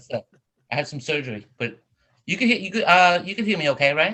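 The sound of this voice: Fairly quick and fairly high-pitched, a man speaks in a bright, sharp tone with big swings in pitch.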